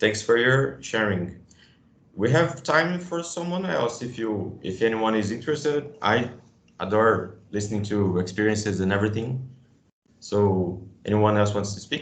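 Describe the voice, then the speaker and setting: Audible room echo surrounds a man with a fairly low pitch and a Brazilian Portuguese accent who speaks with lively intonation. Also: moderate pace. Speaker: museum educator. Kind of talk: workshop discussion. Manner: halting.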